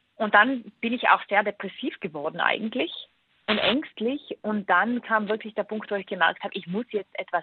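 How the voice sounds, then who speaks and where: Here a woman has an unremarkable speaking voice set at a fairly high pitch. She moves at a moderate pace with ordinary pitch variation. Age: 30s. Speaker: author and digital detox expert. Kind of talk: interview.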